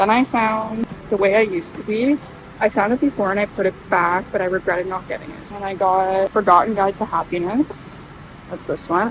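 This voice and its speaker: A quiet woman's voice at a moderate pace, with ordinary pitch variation and noticeable background noise. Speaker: book vlogger. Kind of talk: casual vlog. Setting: thrift store.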